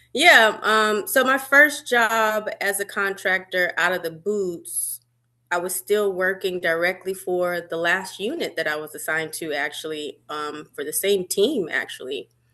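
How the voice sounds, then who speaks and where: Against a quiet background, a woman with a medium pitch and a bright, sharp tone talks at a fairly slow pace with lively intonation and hardly any pauses. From Birmingham, Alabama. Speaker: army veteran and cybersecurity contractor. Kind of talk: interview.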